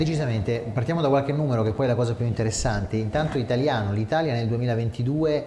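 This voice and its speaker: Speech comes at a fairly quick pace, with ordinary pitch variation. It is a plain, everyday voice. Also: man. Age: 30s. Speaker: lawyer and regional election candidate. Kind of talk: interview. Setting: studio.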